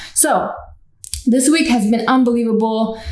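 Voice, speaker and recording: Noticeable background noise and audible room echo surround a woman whose voice sits at a fairly high pitch. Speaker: vlogger and small online store owner. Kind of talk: casual vlog monologue. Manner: casual, hesitant fillers.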